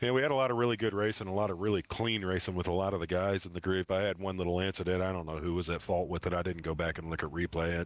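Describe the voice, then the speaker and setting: A man with an American accent at a very fast pace, very deep and low in pitch, with ordinary pitch variation. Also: hardly any pauses. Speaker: sim racing driver. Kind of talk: post-race interview.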